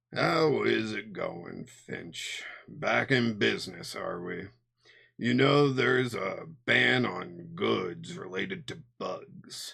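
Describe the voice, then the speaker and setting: A man's raspy put-on character voice at medium pitch and a very slow pace. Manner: patronizing.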